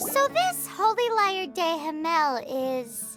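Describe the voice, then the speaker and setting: In a squeaky put-on character voice at an extremely high pitch, the speaker moves very slowly through very wide pitch swings while clear music plays in the background. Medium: machinima.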